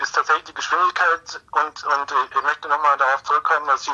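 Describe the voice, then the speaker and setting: A man's voice comes across dry and close with no echo, his intonation fairly even. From Munich, Bavaria. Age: 40s. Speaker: marine biologist, professor. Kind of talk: interview. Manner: halting, many repetitions.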